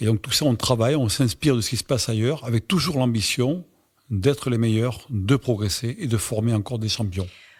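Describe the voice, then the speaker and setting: This man talks at a fairly quick pace at medium pitch with ordinary pitch variation, his voice somewhat breathy in a very clean recording with a silent background. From southwest France, Dordogne (Bergerac). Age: 60s. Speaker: swimming club president. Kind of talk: interview. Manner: hesitant, frequent fillers.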